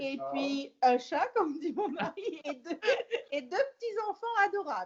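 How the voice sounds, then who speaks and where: At a very slow pace, a woman with an extremely high pitch speaks with very wide pitch swings. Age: 60s. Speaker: podcast guest, host's mother. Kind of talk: casual chat.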